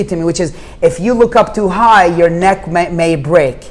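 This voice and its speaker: Speaking with an Arabic accent, a man uses an animated tone and a high pitch at a fairly quick pace over noticeable background noise. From Jordan. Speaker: real estate investor. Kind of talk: podcast interview. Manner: fast, animated.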